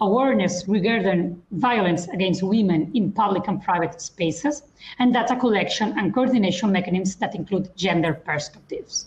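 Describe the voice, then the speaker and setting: A woman speaks at a moderate pace. Her medium-pitched voice is somewhat breathy. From Spain. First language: Spanish or Catalan. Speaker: lawyer. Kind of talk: panel discussion. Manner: formal.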